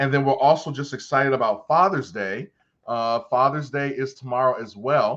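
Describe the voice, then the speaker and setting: A man's animated, medium-pitched voice at a moderate pace, with ordinary pitch variation. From Baltimore, Maryland. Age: 40s. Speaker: podcast host. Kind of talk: casual chat. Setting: studio.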